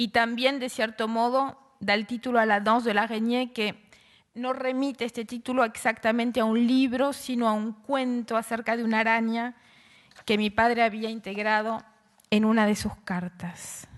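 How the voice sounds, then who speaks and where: Her voice fairly high in pitch, a woman talks at a moderate pace in a monotone, flat intonation. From Argentina. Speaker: writer and literature professor. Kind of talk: conference talk.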